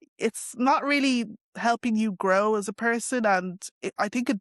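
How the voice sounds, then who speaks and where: A woman with a Dublin accent at a moderate pace and a fairly high pitch, fairly even intonation, a dry, close sound with no echo and a quiet background. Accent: Dublin Irish. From Ireland, Dublin. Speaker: interviewee on race and culture. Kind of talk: interview. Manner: casual, many fillers.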